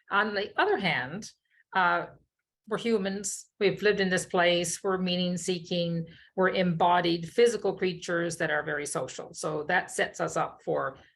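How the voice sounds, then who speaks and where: The speaker has a Newfoundland accent and talks at a moderate pace. Intonation is fairly even, and the background is quiet. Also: woman. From Newfoundland, Fogo Island. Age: 60s. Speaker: keynote speaker, social entrepreneur. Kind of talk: keynote talk.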